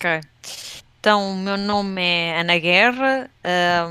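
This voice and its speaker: On a very clean recording with a silent background, a woman speaks very slowly at a fairly low pitch in a bright, sharp tone. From Portugal, Leiria region. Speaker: streamer and video game industry marketer. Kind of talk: casual interview chat.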